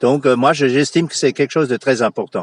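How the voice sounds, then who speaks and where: A man talks at a fairly quick pace. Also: dry, close sound with no echo. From Moselle, France (Franconian dialect area). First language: Franconian dialect (Platt) (speaking French). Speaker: local history enthusiast and fort guide. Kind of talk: radio interview. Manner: hesitant, many fillers.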